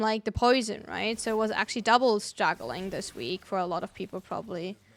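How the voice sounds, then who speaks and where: Speaking at a fairly quick pace, a woman with a fairly high pitch uses ordinary pitch variation in a very clean recording with a silent background. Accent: German. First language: German. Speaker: gaming streamer. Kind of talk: casual chat.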